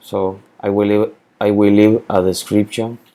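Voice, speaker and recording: In a Spanish accent, a man speaks at a fairly slow pace in a flat monotone, his fairly low voice dark and mellow in tone. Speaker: spreadsheet tutorial maker. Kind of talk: tutorial. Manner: halting, with repetitions and fillers.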